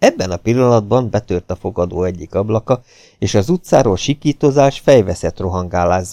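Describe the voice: Simply plain reading aloud.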